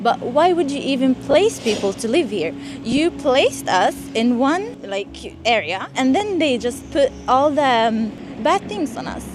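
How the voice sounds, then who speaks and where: A woman speaks at a fairly slow pace in a high pitch, her voice taking very wide pitch swings over noticeable background noise. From Sweden (raised there, came from Syria as a child in 2015). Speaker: student interviewed on the street. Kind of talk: street interview. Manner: halting, with repeated false starts.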